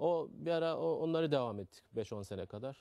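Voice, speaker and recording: A man with a Turkmen accent has a dark, mellow tone and lively intonation. The sound is dry and close, with no echo. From Afghanistan (Turkmen community). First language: Turkmen (speaking Turkish). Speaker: carpet shop owner. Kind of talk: interview. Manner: halting.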